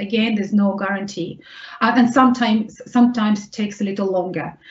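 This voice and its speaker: The speaker has a Russian accent and ordinary pitch variation. Noticeable background noise can be heard. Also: woman. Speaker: vocational rehabilitation specialist. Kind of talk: webinar Q&A answer. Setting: online webinar.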